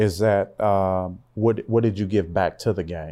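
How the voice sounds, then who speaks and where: Speaking fairly slowly in an American accent, a man has a dark, mellow tone and ordinary pitch variation. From Louisiana, then Seattle area. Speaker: pastor and motivational speaker. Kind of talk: casual interview chat. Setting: studio.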